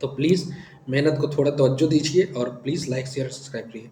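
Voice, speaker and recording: In a put-on character voice, a man sounds hoarse and strained, talking at a fairly quick pace and fairly high pitch with big swings in loudness. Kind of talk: teacher signing off a video.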